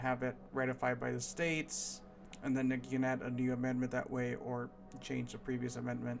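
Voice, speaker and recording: With music playing in the background, a man speaks at medium pitch and a moderate pace. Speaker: political commentary vlogger. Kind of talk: unscripted rant.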